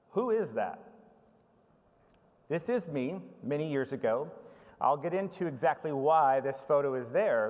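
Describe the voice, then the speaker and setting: This man speaks at a fairly high pitch and a fairly slow pace, with lively intonation and long, frequent pauses. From United States. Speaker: information management professional. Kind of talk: conference presentation. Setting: conference stage with audience.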